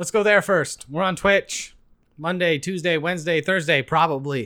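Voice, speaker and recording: Loud and bright with a sharp tone, a man speaks at a moderate pace with ordinary pitch variation. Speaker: video game podcast co-host. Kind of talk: casual chat.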